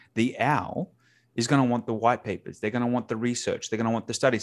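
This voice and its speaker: An Australian-accented man is heard on a very clean recording with a silent background. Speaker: sales communication specialist. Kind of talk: casual interview chat. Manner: casual, filler-heavy.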